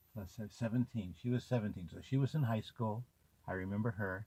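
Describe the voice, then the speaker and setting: A man speaks in a dark, mellow, somewhat breathy voice at a fairly low pitch with fairly even intonation. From US West Coast, South Central Los Angeles. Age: 60s. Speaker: video memoirist. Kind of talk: personal reminiscence. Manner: halting, with fillers.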